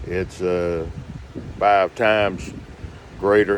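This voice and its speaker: Noticeable background noise runs behind a man who speaks very slowly at a fairly low pitch. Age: 60s. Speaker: hurricane survivor vlogger. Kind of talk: casual video diary. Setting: inside a motorhome. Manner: halting, many fillers.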